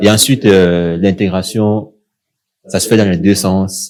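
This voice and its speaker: A man with a Cameroonian accent, very deep and low in pitch, at a moderate pace with fairly even intonation. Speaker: young professional sharing experience. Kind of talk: casual podcast discussion.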